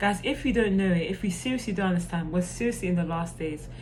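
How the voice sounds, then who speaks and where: Against audible room echo, a woman speaks at medium pitch with ordinary pitch variation. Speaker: youtube preacher. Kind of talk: informal sermon to camera. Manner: hesitant, many fillers.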